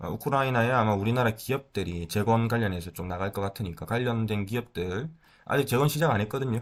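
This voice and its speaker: In a very clean recording with a silent background, a man speaks at medium pitch and a very fast pace. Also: ordinary pitch variation. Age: 30s. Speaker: stock market YouTuber. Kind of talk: casual market commentary. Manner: hesitant, filler-heavy.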